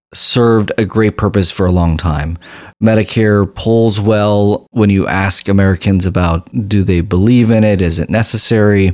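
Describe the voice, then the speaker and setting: This unremarkable speaking voice keeps a moderate pace and very even loudness, with ordinary pitch variation on a very clean recording with a silent background. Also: man. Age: 40s. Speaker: family physician and health care advocate. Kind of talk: interview conversation.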